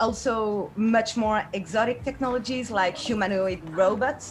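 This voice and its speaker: A woman with a French accent at a fairly high pitch, ordinary pitch variation and a fairly slow pace, amid noticeable background noise. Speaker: game designer and artist. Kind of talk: online workshop presentation. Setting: video call. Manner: hesitant, with fillers.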